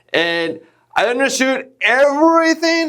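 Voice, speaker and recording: A man with a non-native accent, very wide pitch swings and a fairly slow pace, in a very clean recording with a silent background. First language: not English. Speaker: podcast host. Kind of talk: casual interview. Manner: halting.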